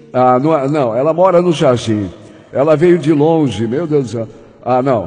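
With audible room echo and noticeable background noise, a man speaks in an animated tone with lively intonation. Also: fairly high pitch for a man, fairly slow pace. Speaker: radio host. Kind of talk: casual chat. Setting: studio.

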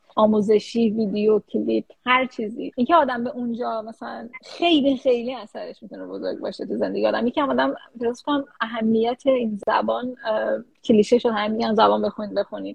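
Talking at a fairly quick pace, a woman's voice shows big swings in loudness. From Iran. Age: 30s. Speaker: research scientist. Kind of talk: interview. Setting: live stream.

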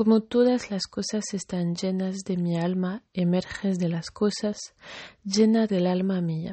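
A woman speaks at a very slow pace in a medium pitch, her voice somewhat breathy and her intonation fairly even. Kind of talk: poem reading aloud. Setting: addressing a person named Kari, greeting her good evening. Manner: soft, tender, intimate; slow, measured, with pauses.

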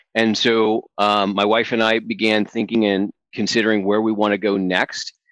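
With an American accent and a plain, everyday voice, a man talks at a fairly slow pace in a dry, close sound with no echo over a quiet background. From upstate New York. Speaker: business consultant and coach. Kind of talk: interview.

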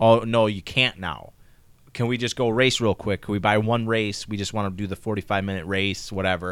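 A man with an American accent and an ordinary speaking voice talks at a fairly quick pace, his pitch fairly low and his intonation fairly even, on a very clean recording with a silent background. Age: 30s. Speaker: podcast co-host. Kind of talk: casual chat.

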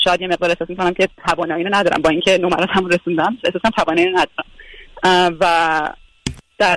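Very fast yet broken by long, frequent pauses, a man's high voice holds very even loudness and monotone, flat intonation in a dry, close sound with no echo. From Iran. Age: 20s. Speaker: physiotherapist. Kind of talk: radio call-in, personal problem.

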